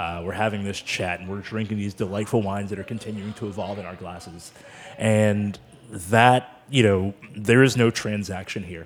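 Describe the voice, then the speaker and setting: This man has an ordinary speaking voice with an American accent and a fairly low pitch. He talks at a moderate pace with fairly even intonation and big swings in loudness. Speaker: sommelier. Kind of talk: casual chat. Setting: studio.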